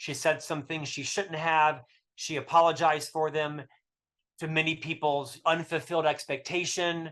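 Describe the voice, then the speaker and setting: With an American accent, a man speaks in an animated tone at a moderate pace and a fairly high pitch against a quiet background. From US South. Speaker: author. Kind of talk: podcast interview.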